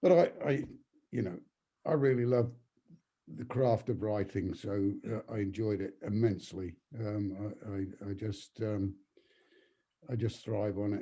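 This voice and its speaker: Somewhat breathy, dark and mellow speech at a fairly slow pace, with long, frequent pauses and ordinary pitch variation. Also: man, fairly low pitch for a man. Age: 80s+. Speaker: novelist. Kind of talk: interview. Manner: halting.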